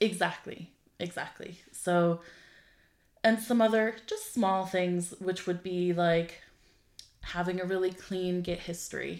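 In a very clean recording with a silent background, a woman with an Irish accent talks at a fairly slow pace with a medium pitch, monotone, flat intonation and long, frequent pauses. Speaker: tech comedy podcast co-host, programmer. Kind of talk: casual chat.

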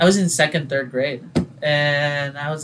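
This is a man's voice. It sits fairly high in pitch, with ordinary pitch variation. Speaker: singer-songwriter and designer. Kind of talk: casual interview chat.

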